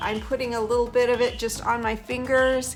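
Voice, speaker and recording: A woman speaks at a moderate pace in a fairly high pitch, with music playing in the background. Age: 60s. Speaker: makeup artist. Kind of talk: makeup tutorial talk to camera.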